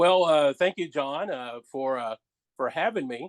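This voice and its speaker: This man has a plain, everyday voice, talking at a moderate pace with ordinary pitch variation in a dry, close sound with no echo. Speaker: public address announcer and training manager at a call center. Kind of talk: interview answer. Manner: relaxed, conversational.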